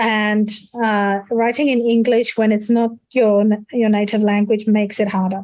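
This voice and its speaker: A woman with a non-native accent speaks at a moderate pace in a fairly high pitch, her intonation monotone and flat and her loudness very even. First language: not English. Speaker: conference speaker on academic writing. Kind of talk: Q&A answer at an online seminar.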